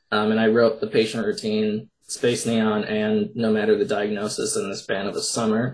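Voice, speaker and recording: A man with an Upper Midwest accent speaks at medium pitch in a monotone, flat manner. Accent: Upper Midwest American. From Minnesota. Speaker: poet and horror author. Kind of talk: interview.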